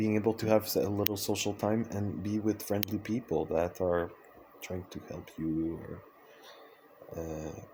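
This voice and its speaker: A man speaks in a Quebec accent at a fairly slow pace. His fairly low pitch carries a dark, mellow tone and fairly even intonation. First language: French. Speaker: vlogger, circus artist and dancer. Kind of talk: personal vlog monologue. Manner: hesitant, many fillers and restarts.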